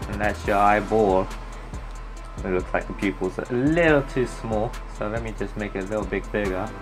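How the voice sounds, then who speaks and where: A man talks at a moderate pace with long, frequent pauses. Music plays in the background. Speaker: digital art tutorial maker. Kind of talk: casual tutorial narration.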